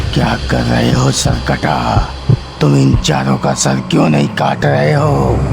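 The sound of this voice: A man's cartoonish character voice at a moderate pace, over loud background noise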